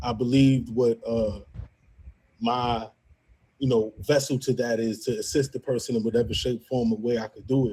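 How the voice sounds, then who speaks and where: A man with a strong Brooklyn accent speaks at medium pitch in a dark, mellow, somewhat breathy voice, flat and monotone, at a moderate pace broken by long, frequent pauses. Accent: strong Brooklyn New York. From Brooklyn, New York. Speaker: media editor and show admin. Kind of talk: casual chat.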